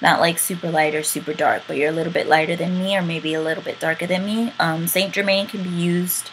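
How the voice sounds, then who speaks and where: A woman talks with a fairly low pitch. Her intonation is fairly even. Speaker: beauty vlogger. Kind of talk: casual talk to camera.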